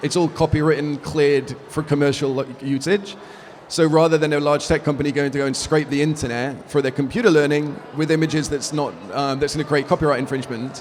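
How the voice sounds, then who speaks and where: Through noticeable background noise, a man with an English accent speaks at a very fast pace and a fairly high pitch with fairly even intonation. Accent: English accent, kept. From UK. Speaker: business executive. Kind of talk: interview. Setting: conference event.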